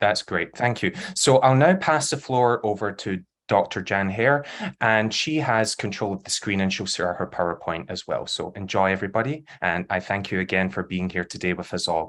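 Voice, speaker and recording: A man with a Glasgow accent speaks at a fairly low pitch with lively intonation. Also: very clean recording, silent background. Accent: Scottish (Glasgow). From Scotland, Glasgow. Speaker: panel discussant, academic. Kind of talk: event moderation.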